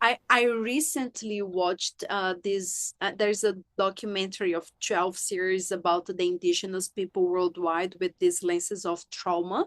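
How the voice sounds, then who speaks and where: A woman with a Brazilian accent at medium pitch and moderate pace, fairly even intonation and hardly any pauses, in a dry, close sound with no echo against a quiet background. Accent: foreign accent, Brazilian. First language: Portuguese. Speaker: sex and relationship coach, author. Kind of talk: podcast interview.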